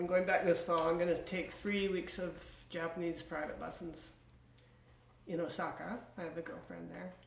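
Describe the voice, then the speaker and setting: A woman speaks at a moderate pace in a fairly low pitch with a monotone, flat intonation. Light background noise and audible room echo surround her voice. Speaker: interviewee. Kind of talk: interview answer. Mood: calm, reflective. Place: home room.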